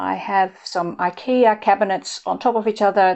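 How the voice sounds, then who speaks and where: This is a woman speaking. Her pitch sits in the medium range. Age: 60s. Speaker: nutritionist. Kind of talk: home tour, talk to camera.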